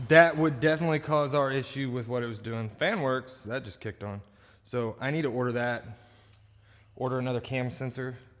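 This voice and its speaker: With a relaxed tone and medium pitch, a man talks at a fairly quick pace with ordinary pitch variation. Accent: Southern US. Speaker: ATV mechanic vlogger. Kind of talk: shop vlog narration. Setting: workshop. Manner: casual, relaxed.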